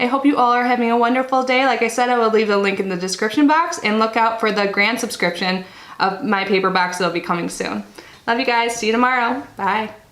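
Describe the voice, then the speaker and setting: A woman at a very fast pace and fairly high pitch, amid noticeable background noise and audible room echo. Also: ordinary pitch variation. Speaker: unboxing YouTuber. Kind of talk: casual product review vlog.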